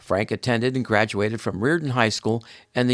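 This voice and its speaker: In a plain, everyday voice at medium pitch, a man talks at a fairly quick pace, the sound dry and close with no echo on a very clean recording with a silent background. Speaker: podcast host. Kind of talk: podcast intro.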